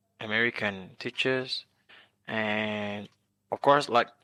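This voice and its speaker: A bright, sharp tone with a Vietnamese accent at a very slow pace, dry and close with no echo, over a quiet background. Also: man. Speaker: international student. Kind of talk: interview. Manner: halting.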